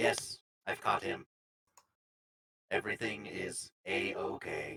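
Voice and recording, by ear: A put-on character voice, raspy and robotic, comes through at a fairly slow pace.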